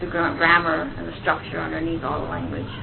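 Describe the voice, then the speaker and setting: With an American accent, a woman speaks fairly low and fairly quickly, with audible room echo and noticeable background noise. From US, bilingual Japanese household. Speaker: anime and video game translator. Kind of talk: interview.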